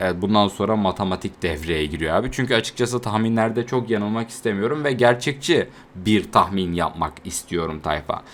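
Delivered at a moderate pace with hardly any pauses, the speech has lively intonation. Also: man, fairly low pitch for a man. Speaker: anime YouTuber. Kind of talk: casual video monologue. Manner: conversational, unscripted.

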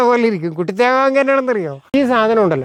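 Pitch variation here is ordinary. The speaker is a man. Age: 70s. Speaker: farmer. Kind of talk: casual explanation to camera.

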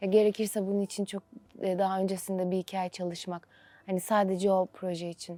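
A woman with a dark, mellow tone talks at a fairly quick pace in a monotone, flat intonation, the sound dry and close with no echo. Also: medium pitch for a woman. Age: 20s. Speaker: actress. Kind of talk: interview.

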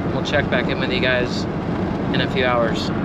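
Loud background noise sits behind a man's voice. The sound is dry with no echo. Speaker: family vlogger driving. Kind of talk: casual vlog chat. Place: car. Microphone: phone near.

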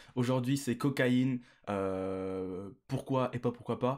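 A man's pitch varies in an ordinary way as he talks against a quiet background. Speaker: streamer. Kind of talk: casual stream chat. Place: home room. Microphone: studio mic.

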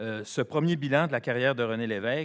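Over a quiet background, a man talks at a fairly quick pace with ordinary pitch variation. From Quebec. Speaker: economics professor and former politician; economics professor, former politician. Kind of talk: panel presentation. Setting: conference with audience. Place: hall. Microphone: podium.

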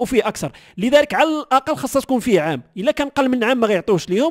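A man with a Moroccan accent speaks very fast at an extremely high pitch, with lively intonation. The sound is dry and close, with no echo. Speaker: news channel host. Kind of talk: news commentary.

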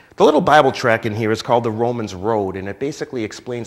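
A man's fairly low voice at a very fast pace. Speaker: pastor. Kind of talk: promotional announcement. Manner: warm, friendly. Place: church. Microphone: lapel.

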